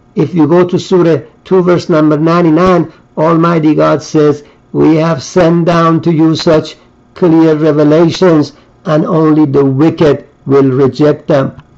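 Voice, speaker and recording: A man speaks at a fairly high pitch with monotone, flat intonation. His loudness stays very even over a quiet background. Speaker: religious preacher. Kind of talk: sermon. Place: home room. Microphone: webcam.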